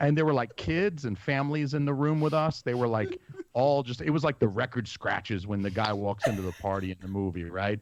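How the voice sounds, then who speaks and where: Noticeable background noise sits behind a man with a medium pitch who talks at a fairly quick pace, his tone animated and his intonation lively. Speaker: podcast co-host. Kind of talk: casual chat. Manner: loud.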